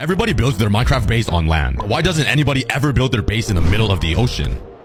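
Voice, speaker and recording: Noticeable background noise sits behind a man who speaks very fast. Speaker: gaming video creator. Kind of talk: gameplay commentary. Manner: animated.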